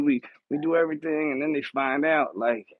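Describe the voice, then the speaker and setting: A man speaks with a Philadelphia accent. His pitch is fairly high. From Philadelphia, US. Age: 40s. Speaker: live streamer. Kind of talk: casual chat. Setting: home. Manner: casual, halting with repeated words.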